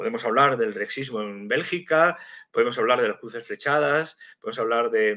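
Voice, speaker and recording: The background stays quiet. A man's speech moves at a moderate pace. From Madrid, Spain; Spain. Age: 50s. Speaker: geopolitics and intelligence analyst, civil servant; guest. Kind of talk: live stream interview. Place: home room. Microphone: video call.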